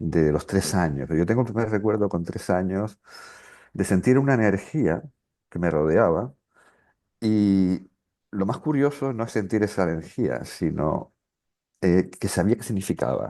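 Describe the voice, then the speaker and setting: A man with a Canarian accent speaks in a fairly low voice at a fairly slow pace, with lively intonation. He leaves long, frequent pauses against a quiet background. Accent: Canarian Spanish, clear. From Canary Islands, Las Palmas de Gran Canaria. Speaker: regression therapist and author. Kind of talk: interview conversation.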